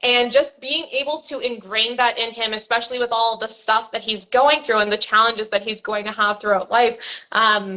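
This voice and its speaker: A woman speaks loudly and at a moderate pace. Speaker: money coach. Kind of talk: live stream interview.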